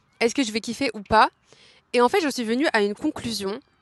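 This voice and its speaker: The sound is dry and close, with no echo. It is a normal speaking voice with ordinary pitch variation. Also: woman. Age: 20s. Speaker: podcaster. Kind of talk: casual chat. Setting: outdoors in a park. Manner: casual, filler-heavy.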